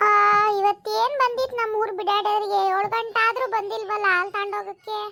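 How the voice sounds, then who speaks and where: In a cartoonish character voice, a woman speaks at an extremely high pitch, fairly slowly, with monotone, flat intonation. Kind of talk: rustic village dialect comedy. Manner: blunt, rapid scolding.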